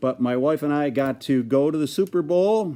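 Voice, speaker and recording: Against a quiet background, a man with an American accent speaks at a fairly slow pace in a dark, mellow tone with ordinary pitch variation. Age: 60s. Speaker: sports superfan. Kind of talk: casual video message. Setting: garage. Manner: animated.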